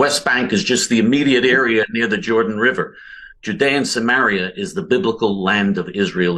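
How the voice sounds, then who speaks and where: A man's bright, sharp tone carries lively intonation at a fairly quick pace. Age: 60s. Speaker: political activist. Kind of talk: heated debate.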